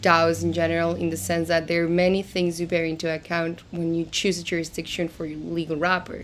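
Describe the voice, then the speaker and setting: A woman with a slight Argentine accent speaks in a fairly low pitch. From Argentina. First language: Spanish. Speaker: crypto lawyer. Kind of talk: interview.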